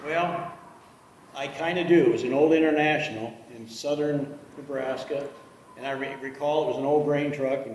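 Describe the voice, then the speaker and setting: At a moderate pace and with fairly even intonation, the speech carries long, frequent pauses and big swings in loudness, with audible room echo and noticeable background noise. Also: man. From South Dakota. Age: 60s. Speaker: truck collector selling his collection. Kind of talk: interview.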